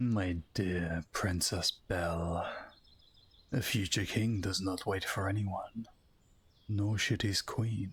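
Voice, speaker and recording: A man uses a put-on character voice, fairly low in pitch with fairly even intonation, at a very slow pace broken by long, frequent pauses. The recording is very clean, with a silent background. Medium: role play.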